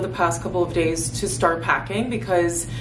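A woman's fairly low voice at a moderate pace, amid noticeable background noise. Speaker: lifestyle vlogger. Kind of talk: casual vlog chat. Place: home room. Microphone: phone near.

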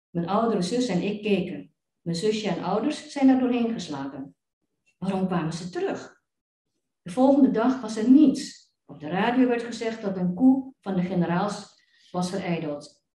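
Somewhat breathy, a woman talks at a medium pitch and moderate pace with lively intonation. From Indonesia. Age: 70s. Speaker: researcher. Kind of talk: lecture. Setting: stage with audience.

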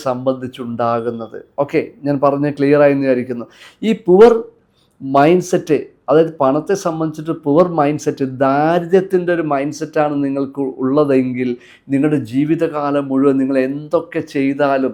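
Against a quiet background, a man speaks in a dark, mellow tone at a fairly high pitch. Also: fairly even intonation. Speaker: motivational coach. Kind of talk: motivational talk.

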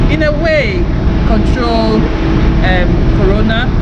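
A woman's fairly slow speech comes through loud background noise. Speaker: vlogger. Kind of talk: casual vlog chat. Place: street. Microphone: phone near.

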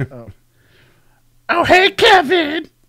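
At an extremely high pitch, a put-on character voice carries the speech. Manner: sassy.

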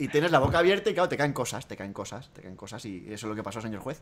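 The pace is very fast. The pitch swings very widely. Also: man. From Spain. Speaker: gaming youtuber; gaming youtuber hosting a radio-style segment. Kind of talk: comedic call-in show. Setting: Skype call. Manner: animated.

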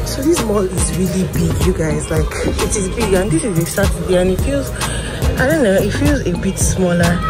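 Moderate-paced speech over loud background music. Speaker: vlogger. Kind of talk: casual vlog chat. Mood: excited, curious. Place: market. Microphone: phone near.

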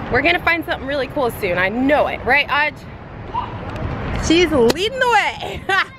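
Over crowd noise in the background, a woman with a high pitch and very wide pitch swings talks at a moderate pace, with a dry sound and no echo. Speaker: parent vlogger. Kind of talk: casual vlog chat. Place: street. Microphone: phone near.

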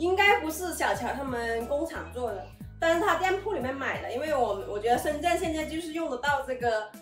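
Against audible room echo and faint background music, a woman speaks at a high pitch and a fairly quick pace. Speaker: vlogger reviewing a product. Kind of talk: casual vlog chat. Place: home room. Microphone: camera far.

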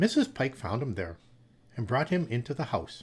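There is vocal fry in this man's voice as he talks at a moderate pace, his pitch swinging very widely. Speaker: storyteller. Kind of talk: story reading aloud. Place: home room. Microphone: studio mic.

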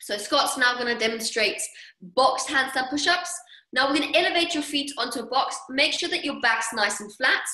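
A woman talks in a high pitch with an upbeat tone and lively intonation. Her voice is raised and projected, at a moderate pace. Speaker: fitness coach. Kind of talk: online workout class instruction. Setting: video call. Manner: upbeat, encouraging.

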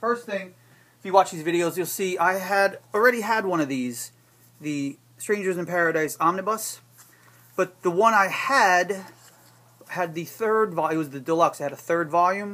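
A man's raised, projected voice with ordinary pitch variation. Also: moderate pace. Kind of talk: casual product showcase. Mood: wry, joking. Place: shop. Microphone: camera far.

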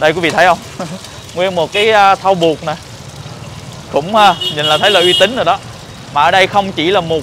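Noticeable background noise sits behind a man speaking at a moderate pace. His high pitch holds fairly even intonation. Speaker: food vlogger host. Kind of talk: casual vlog chat. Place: street. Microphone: lapel.

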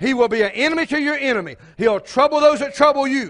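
This man talks fast with an extremely high pitch. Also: ordinary pitch variation, fairly bright tone.

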